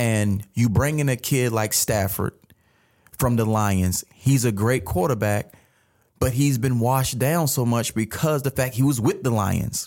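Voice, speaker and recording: In a very clean recording with a silent background, a man uses an ordinary speaking voice at a medium pitch with an American accent. He talks at a fairly slow pace with ordinary pitch variation and very even loudness. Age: 30s. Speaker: sports podcast co-host, former player and coach. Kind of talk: casual chat.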